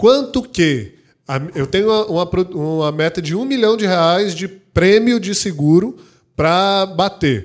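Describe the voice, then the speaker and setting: In a very clean recording with a silent background, a man with a high pitch speaks at a fairly slow pace with lively intonation. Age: 30s. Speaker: insurance franchise CEO and podcast co-host. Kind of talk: casual chat.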